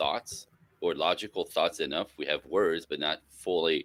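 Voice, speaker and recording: Heard in a dry, close recording with no echo, a man speaks at a moderate pace with a French Canadian accent. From French Canada. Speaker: relationship educator. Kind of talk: interview.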